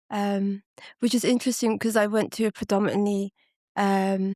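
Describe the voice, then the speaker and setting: On a very clean recording with a silent background and a dry, close sound with no echo, a woman with a London accent speaks at a moderate pace and a medium pitch. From West London, arrived at nine from Ethiopia. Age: 30s. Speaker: podcast guest. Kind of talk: casual chat.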